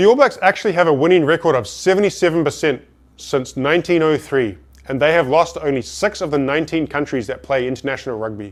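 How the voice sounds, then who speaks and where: A man with a New Zealand accent speaks at a fairly quick pace. His fairly high voice carries lively intonation. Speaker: business speaker. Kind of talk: motivational talk.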